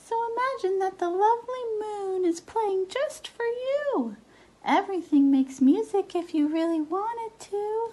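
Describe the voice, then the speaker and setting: Squeaky and pitched extremely high, this is a put-on character voice. Its pace is fairly slow. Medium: read story.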